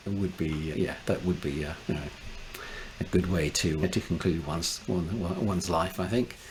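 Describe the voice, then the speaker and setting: A man's very deep, low voice at a fairly quick pace amid noticeable background noise. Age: 60s. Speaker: space engineer. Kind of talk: casual chat.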